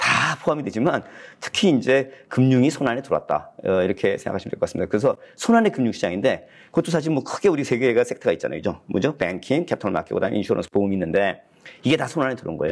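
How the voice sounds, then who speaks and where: A man talks at a very fast pace in a medium pitch with vocal fry. His pitch swings are very wide. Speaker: professor, graduate school dean. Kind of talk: lecture. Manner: hesitant fillers.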